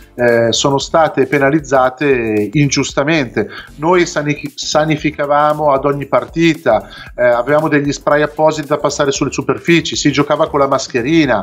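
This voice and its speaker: A man's moderate pace pairs with fairly even intonation. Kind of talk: interview answer. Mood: frustrated, earnest complaint. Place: home room. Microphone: video call.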